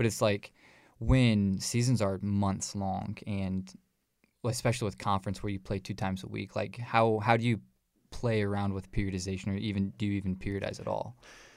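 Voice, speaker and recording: An unremarkable speaking voice moves at a fairly quick pace with fairly even intonation in a very clean recording with a silent background. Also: man, fairly low pitch for a man. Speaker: podcast co-host, recent graduate. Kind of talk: podcast interview.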